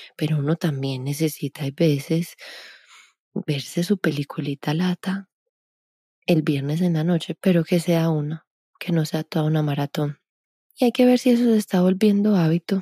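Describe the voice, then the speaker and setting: A woman speaks with a dark, mellow, somewhat breathy tone and long, frequent pauses. The recording is very clean, with a silent background and a dry, close sound with no echo. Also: fairly low pitch for a woman, ordinary pitch variation, moderate pace. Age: 30s. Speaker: podcast host and movement coach. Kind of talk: solo podcast talk.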